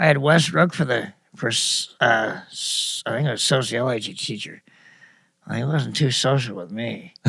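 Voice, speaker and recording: With an American accent, a man at medium pitch talks at a moderate pace, his bright, sharp tone carrying lively intonation and vocal fry. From US Midwest (Kansas, Dubuque, Iowa). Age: 60s. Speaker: local musician and storyteller. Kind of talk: casual interview.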